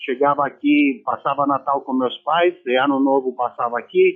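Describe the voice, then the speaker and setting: The pace is fairly slow. Pitch moves up and down in an ordinary way. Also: man. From Romania. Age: 60s. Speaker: former footballer. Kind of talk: radio interview.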